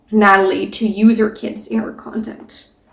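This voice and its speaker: A woman's somewhat breathy, fairly high voice. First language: not English. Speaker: book reviewer. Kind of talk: casual book discussion.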